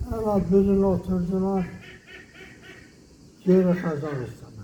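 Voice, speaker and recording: Speaking very slowly in a Meskhetian accent, a man uses a high voice with ordinary pitch variation. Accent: Meskhetian Turkish dialect. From Meskhetian Turk (Ahiska). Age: 80s+. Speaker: exile survivor. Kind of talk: oral history interview answer.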